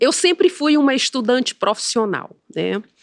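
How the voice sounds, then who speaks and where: A woman speaks with very wide pitch swings. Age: 60s. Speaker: physician and entrepreneur. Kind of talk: interview.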